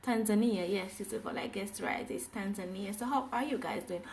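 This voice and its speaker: Speaking at a fairly slow pace, a woman with a medium pitch is heard with audible room echo. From Jamaica. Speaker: English teacher. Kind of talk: live online class. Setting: livestream. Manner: animated.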